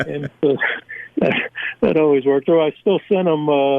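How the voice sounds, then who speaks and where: Using fairly even intonation, a man speaks at a moderate pace. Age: 60s. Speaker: retired football scout and author. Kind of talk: phone interview. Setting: phone call. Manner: hesitant, many fillers.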